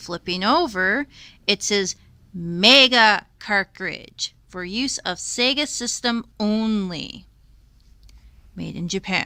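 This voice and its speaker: Recorded very cleanly against a silent background, with a dry, close sound and no echo, a woman with a bright, sharp tone and lively intonation speaks at a very slow pace with long, frequent pauses. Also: medium pitch for a woman. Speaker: retro gaming video host. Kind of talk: casual explainer talk to camera. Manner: slow, measured.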